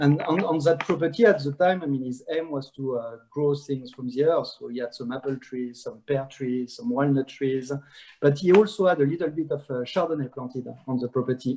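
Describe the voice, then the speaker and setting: A man with a strong French accent talks at a fairly quick pace, his fairly high pitch carrying ordinary variation and a dark, mellow tone. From France. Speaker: wine brand ambassador, master sommelier. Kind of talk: virtual wine tasting presentation. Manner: halting, many fillers.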